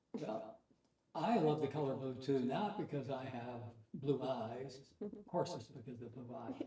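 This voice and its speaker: Amid audible room echo, a man with a somewhat breathy, dark, mellow voice of medium pitch talks at a moderate pace, with ordinary pitch variation and big swings in loudness. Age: 80s+. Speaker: war veteran. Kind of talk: casual chat.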